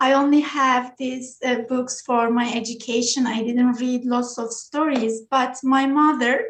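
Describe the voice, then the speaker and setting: A woman with a Turkish accent speaks fairly slowly at high pitch, her intonation monotone and flat, with hardly any pauses. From Turkey, small village. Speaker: children's book author. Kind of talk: interview. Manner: halting, many fillers.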